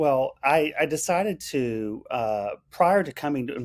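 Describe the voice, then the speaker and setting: A man talks with ordinary pitch variation. The recording is very clean with a silent background and a dry, close sound with no echo. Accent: Texan. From central Texas. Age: 40s. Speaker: restaurant owner-operator. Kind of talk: interview conversation.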